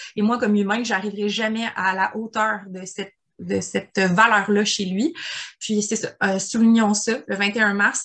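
Monotone, flat intonation colors a woman's fairly slow delivery. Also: medium pitch for a woman. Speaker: podcast co-host. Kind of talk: casual chat.

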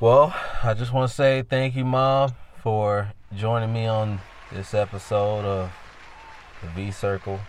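Over crowd noise in the background, a man with a fairly low pitch talks at a fairly slow pace, leaving long, frequent pauses. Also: ordinary pitch variation. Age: 30s. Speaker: podcast host. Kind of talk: casual chat. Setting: phone call. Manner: animated.

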